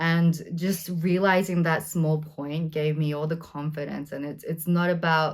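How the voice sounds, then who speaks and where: A woman speaks in a very deep, low voice with monotone, flat intonation, at a fairly slow pace with hardly any pauses. The recording is very clean, the background silent. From Australia, Sydney. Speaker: actor. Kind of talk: interview conversation. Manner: hesitant, many fillers.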